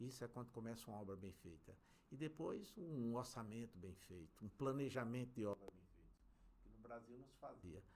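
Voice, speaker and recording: A man with an ordinary speaking voice talks in a medium pitch at a moderate pace. His pitch varies in an ordinary way, but his loudness swings a lot. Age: 60s. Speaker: civil engineer, construction company director. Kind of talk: interview conversation.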